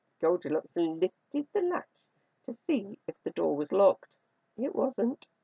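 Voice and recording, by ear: In a quiet setting, the reading aloud comes in a natural voice.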